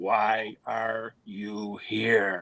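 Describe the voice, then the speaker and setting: This man puts on a character voice that is raspy and gravelly, set at a fairly low pitch. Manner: eerie.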